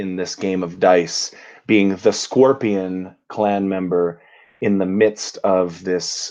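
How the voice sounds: Fairly even intonation in a natural reading voice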